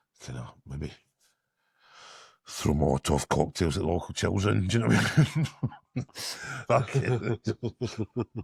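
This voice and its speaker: Someone mumbles in a Glasgow accent at a fairly slow pace, with long, frequent pauses and very wide pitch swings. The sound is dry and close, with no echo. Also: man, very deep, low pitch for a man. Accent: Scottish (Glasgow area). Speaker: podcast co-host. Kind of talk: casual chat. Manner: mumbling.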